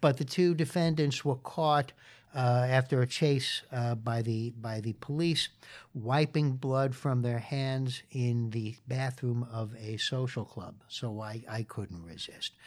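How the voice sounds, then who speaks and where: Recorded very cleanly over a silent background, a man with a New York accent speaks very slowly at a medium pitch with ordinary pitch variation. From New York City (Queens). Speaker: lawyer and law professor. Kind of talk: interview. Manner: frequent fillers.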